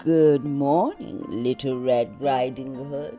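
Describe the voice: A gruff, put-on character voice at a low-to-middle pitch moves at a very slow pace. Clear music plays in the background.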